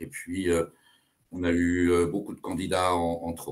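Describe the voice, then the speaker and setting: A man's very deep, low pitch at a fairly slow pace. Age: 60s. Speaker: teacher and political candidate. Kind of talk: interview. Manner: hesitant, many filler sounds.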